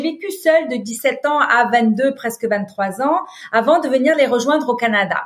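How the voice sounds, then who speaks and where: Her pitch is high for a woman, with ordinary variation. The woman speaks at a fairly slow pace. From Lebanon. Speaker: business leader and nonprofit founder. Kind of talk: interview. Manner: hesitant fillers.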